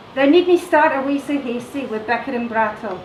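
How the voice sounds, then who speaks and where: A woman with a Scottish accent speaks at a moderate pace in a high pitch with ordinary pitch variation, amid audible room echo and noticeable background noise. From Scotland. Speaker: teacher. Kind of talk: poetry reading.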